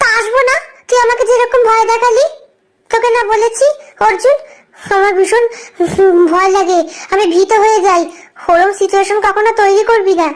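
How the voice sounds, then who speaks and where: A woman's put-on character voice, extremely high, with ordinary pitch variation, very even loudness and a moderate pace. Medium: audio drama. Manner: sharp, bantering.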